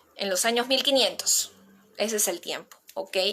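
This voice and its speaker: A woman's bright, sharp voice moves at a fairly slow pace with ordinary pitch variation. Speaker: playwriting teacher. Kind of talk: online workshop lecture.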